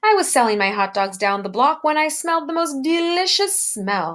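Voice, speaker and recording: Putting on a character voice, a woman speaks at a moderate pace with a high pitch that swings very widely. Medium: read story. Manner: warm, relishing.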